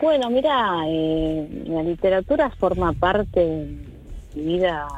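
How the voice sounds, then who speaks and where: The delivery is very slow, with lively intonation. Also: woman. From Greater Buenos Aires, Argentina. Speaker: singer-songwriter. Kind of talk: interview. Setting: remote call.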